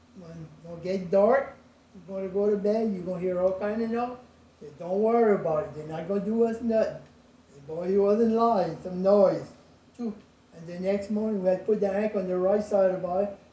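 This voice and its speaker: A high-pitched man in a Cajun accent, fairly even in intonation, big swings in loudness, audible room echo. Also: fairly quick pace. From US South, rural Lafourche Parish, Louisiana. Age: 80s+. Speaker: retired shrimper and craftsman. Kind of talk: family interview storytelling.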